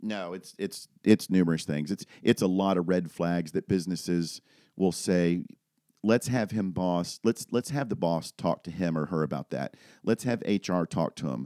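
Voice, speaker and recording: In a very clean recording with a silent background, a man with an American accent speaks at a moderate pace, his very deep, low pitch carrying a dark, mellow tone and ordinary pitch variation. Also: dry, close sound with no echo. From Florida, US (Daytona Beach). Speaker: firearms and active shooter trainer, retired police officer. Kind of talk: podcast interview. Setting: office.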